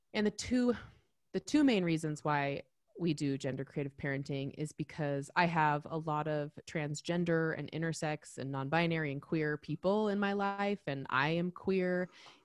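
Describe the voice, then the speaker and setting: The pace is moderate and the pitch varies in an ordinary way. The sound is dry and close, with no echo. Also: woman, very deep, low pitch for a woman. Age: 30s. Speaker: sociologist and parenting advocate. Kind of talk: casual interview. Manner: casual, filler-heavy.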